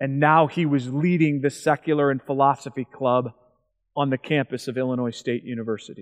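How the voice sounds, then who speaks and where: Here is a man with an ordinary speaking voice and fairly high pitch. He talks at a fairly quick pace with fairly even intonation. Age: 40s. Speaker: evangelist. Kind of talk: seminar talk.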